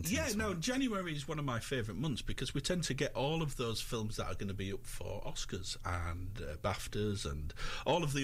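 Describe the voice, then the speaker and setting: A man's somewhat breathy voice moves at a fairly quick pace, his pitch swinging very widely. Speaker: film reviewer on local radio. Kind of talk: radio film review segment. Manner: chatty, conversational, with some hesitations.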